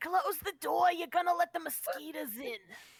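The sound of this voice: An extremely high-pitched, put-on character voice. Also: moderate pace.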